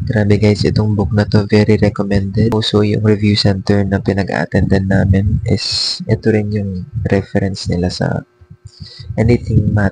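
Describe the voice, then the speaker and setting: Noticeable background noise sits behind a man with a fairly low pitch. He talks at a moderate pace with fairly even intonation. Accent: Filipino. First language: Tagalog. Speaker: vlogger. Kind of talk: casual vlog talk. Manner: soft-spoken.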